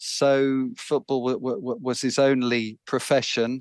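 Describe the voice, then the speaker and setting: A man with a London accent speaks at a medium pitch, the sound dry and close with no echo over a quiet background. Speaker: author. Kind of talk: interview chat about his book. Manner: hesitant, repeats words, laughs.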